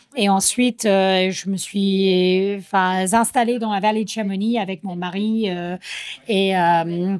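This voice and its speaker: Someone with an American accent speaks at a very slow pace. The intonation is monotone and flat. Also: woman, medium pitch for a woman. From United States. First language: English (speaking French). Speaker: trail runner athlete. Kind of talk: interview. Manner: hesitant, many fillers.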